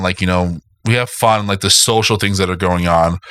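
The man speaks with ordinary pitch variation. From South Florida. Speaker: podcast host, vinyl collector. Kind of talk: casual chat. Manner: halting, many fillers.

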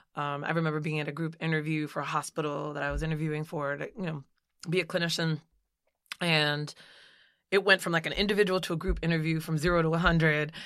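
With an American accent, a woman speaks very fast in a very deep, low pitch and a monotone, flat intonation. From US Northeast, Jersey City, New Jersey. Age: 40s. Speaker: psychologist. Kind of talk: interview conversation.

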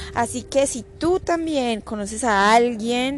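This woman talks very slowly. Her pitch is fairly high and her intonation moves in a lively way. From Colombia. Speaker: podcast host on digital business. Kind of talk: casual solo podcast talk. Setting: home recording.

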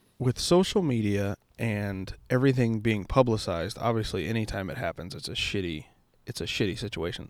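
A man with a normal speaking voice, fairly low-pitched, fairly quick, and lively in intonation, on a very clean recording with a silent background. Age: 20s. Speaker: police officer podcast host. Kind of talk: casual chat.

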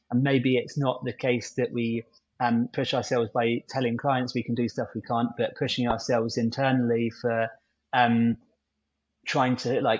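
A man with a southern English accent speaks at a moderate pace with medium pitch and monotone, flat intonation. The background is quiet. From southern England, near London. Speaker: agency technical lead, AI guest. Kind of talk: interview conversation.

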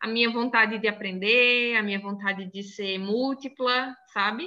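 A woman speaks very slowly in a fairly high pitch. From Northeast Brazil, Crato in inland Ceará (born in Salvador, Bahia). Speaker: university professor and sign language interpreter. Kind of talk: casual interview chat.

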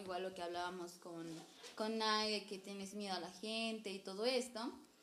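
At a fairly quick pace, a woman talks through audible room echo and noticeable background noise. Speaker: podcast host. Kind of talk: casual chat.

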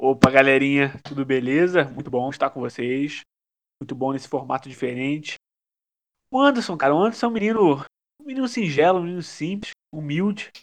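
A man's normal speaking voice, fairly high in pitch, with lively intonation at a fairly quick pace over a quiet background. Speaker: podcast co-host. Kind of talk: casual chat.

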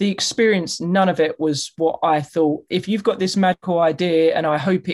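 The speaker has a British accent. The pace is moderate. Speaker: podcast host. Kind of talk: casual interview.

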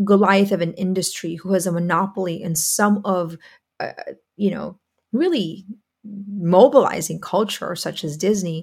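A woman with a medium pitch and a somewhat breathy voice speaks at a moderate pace with fairly even intonation and long, frequent pauses. The recording is very clean, with a silent background. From Philippines. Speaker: podcast host, women's school founder. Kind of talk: monologue commentary.

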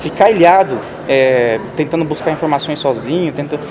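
The man speaks fairly quickly while noticeable background noise runs underneath. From São Paulo state, Brazil. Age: 20s. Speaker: digital marketing specialist. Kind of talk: interview. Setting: at a marketing event.

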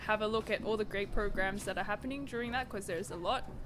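A woman speaks in an Australian accent with fairly even intonation. Music plays in the background, and the room echo is audible. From Australia, Sydney. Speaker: musician, performer. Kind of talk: casual interview.

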